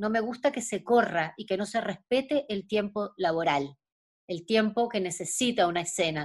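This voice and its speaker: Against a quiet background, a woman speaks at a moderate pace with medium pitch and lively intonation. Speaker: actress. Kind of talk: interview.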